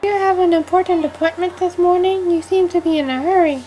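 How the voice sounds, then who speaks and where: Over clear background noise, a woman puts on a character voice at an extremely high pitch and a fairly quick pace. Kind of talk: audio drama dialogue.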